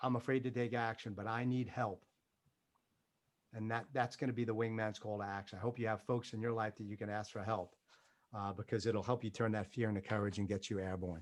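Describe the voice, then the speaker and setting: A man with a New York accent speaks at a fairly low pitch and a fairly quick pace. The recording is very clean, with a silent background. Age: 50s. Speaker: motivational speaker, former military pilot. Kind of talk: motivational talk. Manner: animated.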